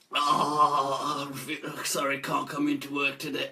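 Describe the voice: Croaky and fairly high-pitched, a man's put-on character voice moves at a fairly slow pace.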